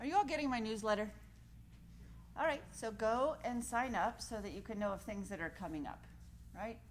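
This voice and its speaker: A woman talks at a fairly quick pace with vocal fry. She leaves long, frequent pauses. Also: fairly high pitch for a woman, lively intonation. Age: 40s. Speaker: yoga teacher. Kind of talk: yoga class talk. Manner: calm, relaxed.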